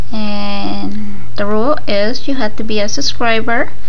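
There is light background noise behind the speaker. A woman talks at a very slow pace. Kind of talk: casual craft show-and-tell. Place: home room. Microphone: phone near.

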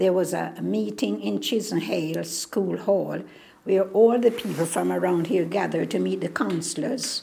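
The voice has a dark, mellow tone with vocal fry, at a fairly slow pace. Its pitch moves through very wide swings. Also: woman. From Jamaica. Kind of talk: oral history interview answer.

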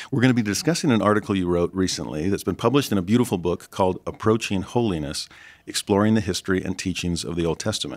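Speaking very fast, a man keeps a fairly low pitch with ordinary pitch variation. The background is silent and the recording very clean. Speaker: interviewer professor. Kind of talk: interview.

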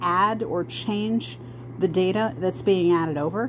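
A woman's fairly low voice with very wide pitch swings, against noticeable background noise. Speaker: genealogy researcher. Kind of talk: tutorial. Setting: in bed, recording herself. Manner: casual, with fillers and self-corrections.

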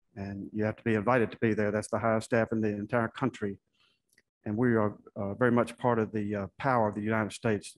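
Very fast and monotone, a man with a fairly low pitch speaks in flat intonation, the sound dry with no echo and the background quiet. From US South (Florida and southern Virginia); US South. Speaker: Senate candidate, army veteran; candidate. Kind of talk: candidate forum answers. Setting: stage with audience. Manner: halting. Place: hall. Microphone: podium.

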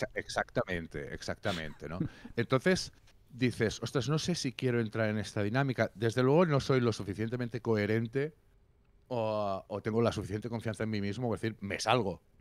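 A man speaks at a fairly quick pace with lively intonation. The sound is dry, with no echo. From Catalonia. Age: 40s. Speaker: music critic and musician; interview guest, journalist. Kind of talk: casual interview. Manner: animated. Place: home room. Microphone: handheld.

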